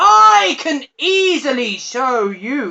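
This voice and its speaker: A put-on character voice bellows at a fairly high pitch. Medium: read story. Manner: bellowing.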